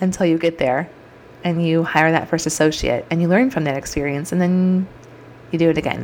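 A woman talks at a fairly quick pace in a fairly low pitch, with ordinary pitch variation. Her tone is animated, and background noise is noticeable. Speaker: podcast host and chiropractor. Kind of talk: solo podcast monologue.

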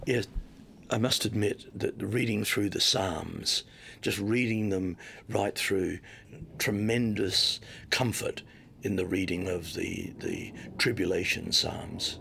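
Pausing long and often, a man with an Australian accent speaks at a very slow pace. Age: 70s. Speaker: missionary. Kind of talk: testimony.

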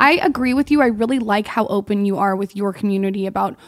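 A woman talks fairly quickly at a medium pitch. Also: very clean recording, silent background. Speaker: blogger and podcaster. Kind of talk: casual interview chat. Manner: animated.

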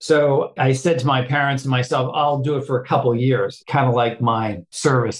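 An unremarkable speaking voice comes from a man with an American accent, a medium pitch and fairly even intonation. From Boston, Massachusetts. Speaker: non-profit CEO. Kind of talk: interview.

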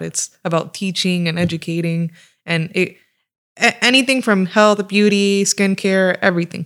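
In a very clean recording with a silent background, a woman with a fairly low pitch speaks with an American accent and fairly even intonation. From Florida (Fort Myers). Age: 20s. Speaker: Instagram page admin. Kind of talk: casual chat.

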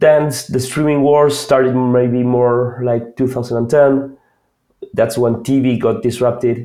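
At a very slow pace, a man with an Argentine accent speaks in a medium-pitched, dark, mellow voice with monotone, flat intonation. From Argentina. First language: Spanish. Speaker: product manager. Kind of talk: interview.

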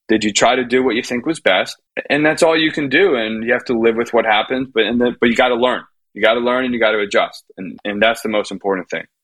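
With an American accent, a man talks at a very fast pace in a medium pitch, showing ordinary pitch variation. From Miami, US. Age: 30s. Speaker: tennis coach. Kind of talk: casual chat.

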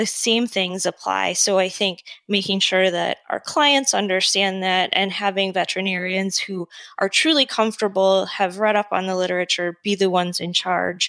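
In an American accent, a woman with an unremarkable speaking voice talks at medium pitch and a moderate pace with fairly even intonation, the sound dry and close with no echo. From Michigan, Metro Detroit. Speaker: veterinary oncologist. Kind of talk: interview.

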